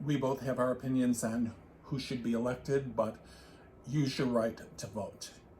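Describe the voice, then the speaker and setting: A man speaks at a medium pitch in a flat monotone. His voice is somewhat breathy. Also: moderate pace. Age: 60s. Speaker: knitting podcast co-host. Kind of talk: casual chat.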